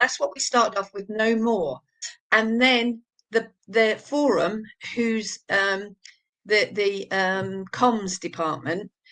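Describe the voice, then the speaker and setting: With an East Anglian accent, a woman with a bright, sharp tone and fairly high pitch speaks at a very slow pace with ordinary pitch variation. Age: 70s. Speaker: abuse survivor and campaigner. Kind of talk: interview testimony. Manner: halting.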